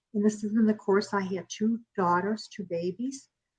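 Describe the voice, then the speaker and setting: With an American accent, the speaker sounds somewhat breathy and keeps a fairly even intonation. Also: woman. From Chicago, US Midwest. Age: 70s. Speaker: author, bereaved mother. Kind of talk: interview testimony. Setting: talk show interview.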